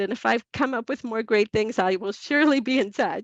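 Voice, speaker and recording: Delivered at a moderate pace with ordinary pitch variation, the voice carries an American accent in a dry, close sound with no echo. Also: woman. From Brooklyn, New York. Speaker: professor. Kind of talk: panel discussion Q&A. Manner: hesitant, many fillers.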